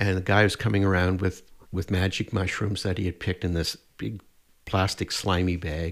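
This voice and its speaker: With a Canadian accent and a very deep, low pitch, a man talks at a moderate pace with fairly even intonation in a very clean recording over a silent background. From Atlantic Canada, Nova Scotia. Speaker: herbalist and mushroom educator. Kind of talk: interview. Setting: studio.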